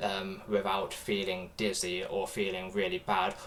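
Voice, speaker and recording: A man with a British accent speaks at a fairly slow pace and a fairly low pitch. His delivery is monotone, with flat intonation, over noticeable background noise. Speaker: streamer reacting to videos. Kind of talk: casual livestream chat. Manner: halting, many fillers.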